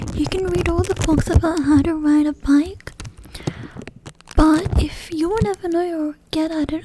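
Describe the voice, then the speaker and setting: Soft-spoken and calm in tone, the speaker keeps a moderate pace over noticeable background noise. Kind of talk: soft-spoken ASMR educational talk. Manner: soft-spoken, calm.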